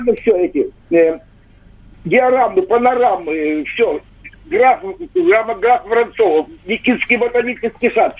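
A man speaks at a very slow pace with long, frequent pauses and an extremely high pitch. His pitch swings very widely. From Russian village. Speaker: caller. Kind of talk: phone-in storytelling. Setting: phone call.

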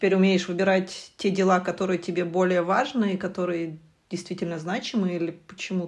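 Her intonation is monotone and flat. The woman's pitch sits fairly low. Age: 30s. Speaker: podcast co-host, university researcher. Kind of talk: casual chat.

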